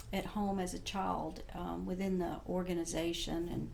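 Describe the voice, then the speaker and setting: A woman speaks at a fairly low pitch and a fairly slow pace, her intonation flat and monotone. Audible room echo surrounds her voice. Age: 60s. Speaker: former Jehovah's Witness sharing her story. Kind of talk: testimony. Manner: halting, many fillers.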